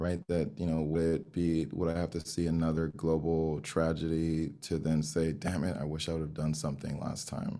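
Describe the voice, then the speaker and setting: Here a man with a Miami accent speaks at a moderate pace, with hardly any pauses. His very deep, low voice has a dark, mellow tone and monotone, flat intonation. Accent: American, Miami. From Miami, Florida (Haitian-American family). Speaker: diversity consultant, business founder. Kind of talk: interview.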